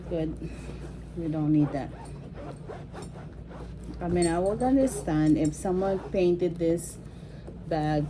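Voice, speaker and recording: Against noticeable background noise, a woman with a Filipino accent speaks with fairly even intonation. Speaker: vintage bag restorer. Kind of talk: casual talk to camera.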